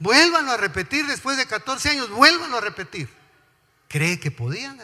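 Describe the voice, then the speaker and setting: This man's voice is raised and projected, set at an extremely high pitch. His pitch swings very widely at a moderate pace. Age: 60s. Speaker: pastor. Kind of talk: sermon. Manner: animated.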